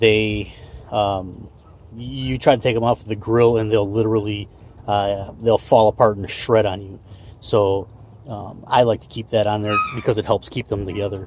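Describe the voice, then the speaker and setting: Against noticeable background noise, a man speaks at a moderate pace with fairly low pitch in a monotone, flat intonation, the sound dry with no echo. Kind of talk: casual tutorial. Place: garden. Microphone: phone near.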